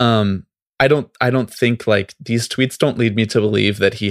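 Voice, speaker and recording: The voice has an American accent, recorded very cleanly against a silent background, with a dry, close sound and no echo. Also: man. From New York. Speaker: podcast host. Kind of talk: casual chat. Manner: animated.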